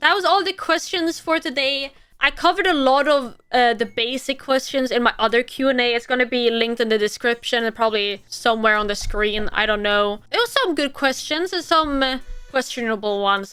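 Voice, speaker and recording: Over music in the background, a woman with a high pitch speaks at a moderate pace in an animated tone, with lively intonation and hardly any pauses. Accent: Swedish. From Sweden. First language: Swedish. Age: 20s. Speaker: streamer. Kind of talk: casual Q&A video.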